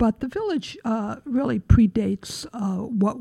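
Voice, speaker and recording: Somewhat breathy and dark, mellow in tone, a woman with an American accent speaks with ordinary pitch variation. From Pennsylvania, then Queens from ninth grade. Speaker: urban historian and tour guide. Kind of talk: interview.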